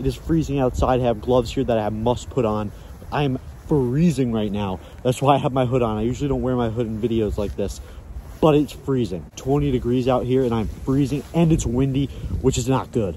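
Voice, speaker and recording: At a moderate pace and with ordinary pitch variation, the speaker sounds dry with no echo over light background noise. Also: man. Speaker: fishing channel host. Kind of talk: casual vlog chat, sponsor read. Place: forest. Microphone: phone near.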